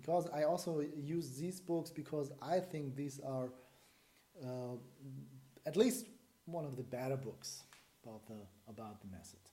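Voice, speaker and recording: With a German accent, a man with a fairly high pitch and a dark, mellow, somewhat breathy tone speaks at a fairly slow pace with lively intonation, long, frequent pauses and big swings in loudness, in audible room echo. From Germany. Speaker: breathing method teacher. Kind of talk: lecture. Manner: halting.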